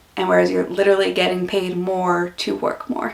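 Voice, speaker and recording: The speaker has an American accent and a relaxed tone at a fairly quick pace. Noticeable background noise can be heard. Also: woman. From US Northeast, Philadelphia. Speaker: YouTuber and office worker. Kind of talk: casual vlog Q&A. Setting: home office. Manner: relaxed, chatty.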